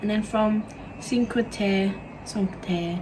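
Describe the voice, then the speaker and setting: A woman with an Australian accent speaks fairly slowly, her intonation fairly even. Noticeable background noise runs underneath. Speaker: vlogger. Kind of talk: casual chat.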